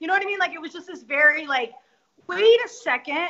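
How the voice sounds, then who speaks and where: With an American accent, a woman speaks at an extremely high pitch. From US West, Denver, Colorado. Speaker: author. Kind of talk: interview.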